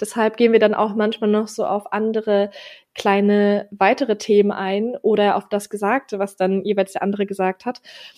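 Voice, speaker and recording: The delivery is monotone and flat, at a moderate pace. The sound is dry and close, with no echo. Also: woman, medium pitch for a woman. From Berlin, Germany. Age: 20s. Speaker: podcast co-host. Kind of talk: casual chat.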